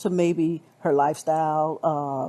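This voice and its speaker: Speaking with an American accent, a woman has a very deep, low pitch, a dark, mellow tone, and monotone, flat intonation. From USA. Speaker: caller. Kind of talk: casual discussion. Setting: live audio chat app.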